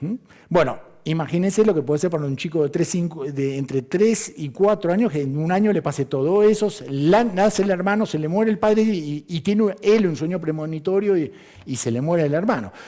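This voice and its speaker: With a dark, mellow tone, a man talks at a high pitch and a fairly quick pace, his pitch varying in an ordinary way. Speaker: astrologer. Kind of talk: lecture. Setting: conference hall with audience. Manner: fast.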